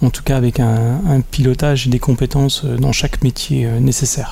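The man talks at a medium pitch. His intonation remains fairly even. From Franche-Comté, France (Besançon). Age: 40s. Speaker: company director. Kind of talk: interview. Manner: halting, many fillers and repetitions.

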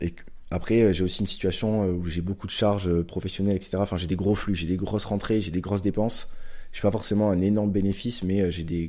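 At a fairly quick pace, a man with a very deep, low pitch and a dark, mellow tone speaks in a flat monotone. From southwestern France, Pau. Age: 20s. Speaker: stock market investor and physiotherapist. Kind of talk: casual interview.

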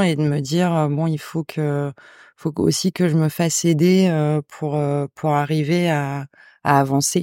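A woman speaks at a very slow pace with a very deep, low pitch. Her tone is dark and mellow. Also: very clean recording, silent background. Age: 40s. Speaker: head chef. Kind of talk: testimony. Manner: hesitant.

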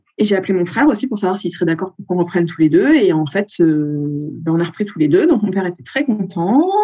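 A woman talks fairly quickly with lively intonation and hardly any pauses. Noticeable background noise runs under her voice. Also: medium pitch for a woman. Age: 40s. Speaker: accountant and photographer. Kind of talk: interview.

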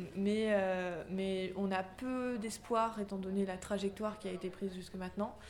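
A woman speaks at a fairly slow pace in a medium pitch, her intonation monotone and flat. The recording carries audible room echo and noticeable background noise. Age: 20s. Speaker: climate activist, media center coordinator. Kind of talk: interview.

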